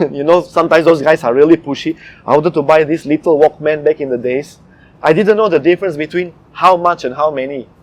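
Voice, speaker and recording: A very fast male voice, fairly high-pitched, with a Malaysian accent, fairly even intonation, and a dry, close sound with no echo. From Eastern Europe (ex-communist country). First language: not English. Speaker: comedy impersonator. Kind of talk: interview.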